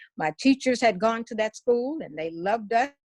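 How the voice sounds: At a fairly quick pace, a woman speaks at a medium pitch with a slightly mellow tone and lively intonation, in a dry, close sound with no echo.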